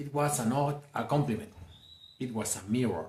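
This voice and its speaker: A man of medium pitch with a Mexican accent, at a fairly slow pace, with audible room echo. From Mexico, Jalisco. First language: Spanish. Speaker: self-help speaker. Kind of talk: motivational talk.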